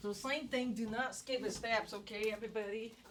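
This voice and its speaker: Speaking fairly slowly, a woman uses a fairly high pitch and ordinary pitch variation, with audible room echo around her. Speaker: economics professor. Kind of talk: lecture.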